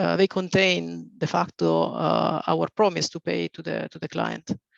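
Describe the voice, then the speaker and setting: Here a man speaks with an Italian accent. His pace is very slow. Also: dry, close sound with no echo. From Italy. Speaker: reinsurance executive. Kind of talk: webinar presentation.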